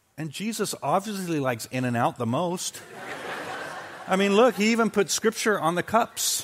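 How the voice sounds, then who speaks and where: Pitched high, a man's voice makes very wide pitch swings over noticeable background noise. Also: moderate pace. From UK. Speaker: pastor. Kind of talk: sermon. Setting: church. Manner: animated.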